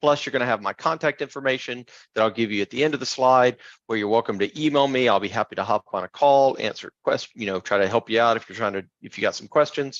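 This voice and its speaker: A man at a very fast pace, medium pitch and ordinary pitch variation, in a dry, close sound with no echo against a quiet background. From US South (Tupelo, Mississippi). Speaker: software architect, tech speaker. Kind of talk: technical presentation.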